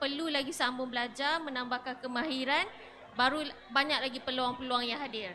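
At a moderate pace, a woman speaks in a high pitch with fairly even intonation over light background noise. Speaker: event organizer; session moderator. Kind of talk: announcements. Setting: stage with audience. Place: tent. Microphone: handheld.

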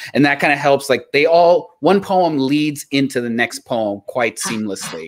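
A man with an American accent speaks at a moderate pace and fairly high pitch. His intonation is lively, and the background is quiet. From South Texas, Mexican American. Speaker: podcast co-host. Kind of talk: casual chat. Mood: warm, friendly. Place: home room. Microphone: earbuds.

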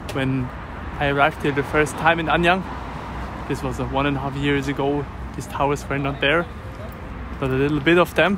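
A man's fairly high voice in a dry sound with no echo, at a fairly quick pace with flat, monotone intonation, long and frequent pauses, and noticeable background noise. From Europe. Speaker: travel vlogger. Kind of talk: walking tour narration. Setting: outdoors. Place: street. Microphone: phone near.

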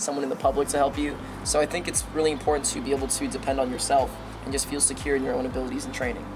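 The speech comes at a very fast pace, with noticeable background noise behind it. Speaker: guest martial arts instructor. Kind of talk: interview answer. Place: street.

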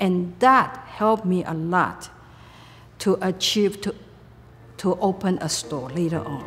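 Using a Taiwanese accent, a woman speaks at a fairly slow pace with ordinary pitch variation and long, frequent pauses. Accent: Taiwanese Mandarin-accented English. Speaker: retired computer company owner. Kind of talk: interview answer. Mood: reflective, calm. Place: home room.

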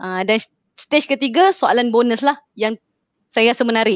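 A woman speaks at a fairly slow pace. The sound is dry with no echo, and the background is quiet. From Malaysia. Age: 20s. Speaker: customer service staff. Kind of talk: casual livestream chat. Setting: live stream. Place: home room. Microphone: video call.

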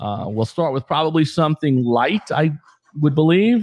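The sound is dry with no echo and a quiet background. A man speaks at a moderate pace. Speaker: podcast host. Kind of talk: casual podcast chat. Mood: jovial, laughing. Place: studio. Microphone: studio mic.

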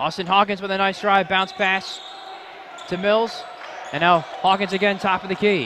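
A man with a high voice speaks in a raised, projected way, with fairly even intonation and long, frequent pauses. The sound is dry with no echo, though background noise is noticeable. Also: moderate pace. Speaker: television sports play-by-play announcer. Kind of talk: sports play-by-play call. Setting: live basketball game commentary. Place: stadium. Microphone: headset.

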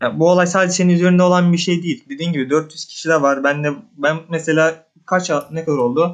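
A man speaks at a fairly quick pace and a fairly high pitch. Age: 20s. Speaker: viewer. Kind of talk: casual chat. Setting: voice call. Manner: halting.

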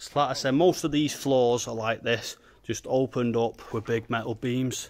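Against light background noise, a man talks at a fairly slow pace with fairly even intonation. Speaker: urban explorer vlogger. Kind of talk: casual vlog chat. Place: factory. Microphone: phone near.

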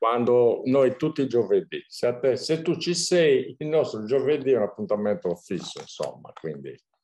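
A man speaks at a moderate pace with hardly any pauses. The background is quiet. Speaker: surfcasting channel host. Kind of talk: casual chat. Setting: video call. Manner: halting. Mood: relaxed, chatty. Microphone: video call.

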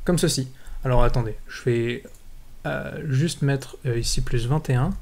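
Very slowly, a man speaks in a somewhat breathy voice. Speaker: programming tutor. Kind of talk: tutorial.

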